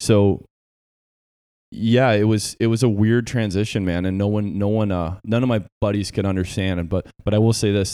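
A man's fairly low voice with a dark, mellow tone, fairly even intonation and a moderate pace, on a very clean recording with a silent background. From Southeast Michigan. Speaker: podcast co-host, Navy veteran. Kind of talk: casual chat. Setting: home garage gym.

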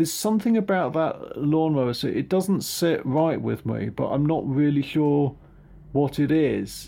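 A man with an English accent, a fairly high pitch, a dark, mellow tone and ordinary pitch variation. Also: moderate pace. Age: 50s. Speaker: podcast guest. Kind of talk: casual film discussion. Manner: halting, hesitant.

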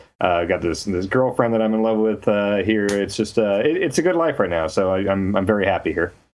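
A man's fairly low voice at a fairly quick pace, with ordinary pitch variation and hardly any pauses. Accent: American. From US Midwest, Kansas. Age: 30s. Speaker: video game journalist and author. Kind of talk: casual interview.

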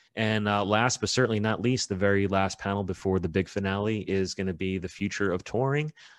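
A man with an American accent talks at a fairly quick pace with hardly any pauses, using an ordinary speaking voice at fairly low pitch with fairly even intonation over a quiet background. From New York City. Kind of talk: casual interview. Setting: video call.

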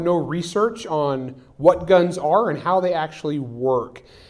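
A man speaks at a fairly slow pace in a high voice with ordinary pitch variation. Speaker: novelist and firearms expert. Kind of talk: live panel discussion. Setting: stage with audience.

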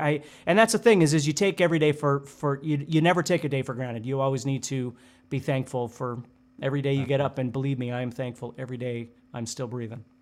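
Speaking at a very fast pace, a man with a fairly high pitch shows ordinary pitch variation on a very clean recording with a silent background. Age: 50s. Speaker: guitar teacher. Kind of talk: casual chat.

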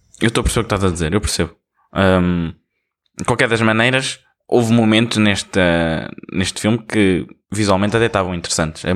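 With a European Portuguese accent, a man speaks fairly quickly at a fairly low pitch, keeping his loudness very even and taking long, frequent pauses, in a very clean recording with a silent background. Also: ordinary pitch variation. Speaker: podcast co-host. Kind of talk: casual chat.

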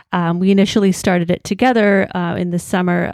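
A woman with an Ontario accent speaks very fast with fairly even intonation, the sound dry and close with no echo. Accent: Canadian (Ontario). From Hamilton, Ontario, Canada. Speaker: blogger and journalist. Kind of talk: casual interview.

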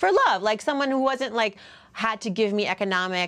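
In an American accent, a woman talks with fairly high pitch and lively intonation. Noticeable background noise runs behind her. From US Northeast, Worcester, Massachusetts. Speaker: personal finance author and TV commentator. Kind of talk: casual interview chat.

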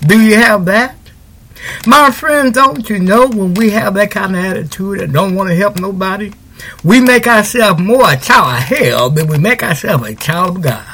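A man speaks at a high pitch in a raised, projected voice, with an animated tone and lively intonation. His pace is moderate, with noticeable background noise. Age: 60s. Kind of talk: radio sermon and devotional talk. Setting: studio. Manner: repetitive, animated.

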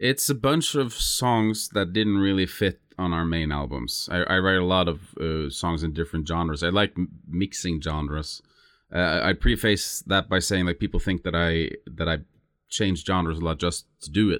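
The speaker talks with a Norwegian accent. The recording is very clean, with a silent background. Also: man, very deep, low pitch for a man, ordinary pitch variation, moderate pace. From southern Norway (Lista). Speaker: musician. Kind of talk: interview. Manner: halting.

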